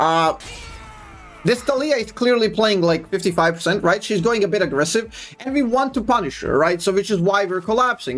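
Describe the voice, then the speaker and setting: With a non-native accent, a man speaks at high pitch and a fairly quick pace, with lively intonation over music in the background. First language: not English. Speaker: gaming streamer. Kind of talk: gameplay commentary. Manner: casual, hesitant with fillers.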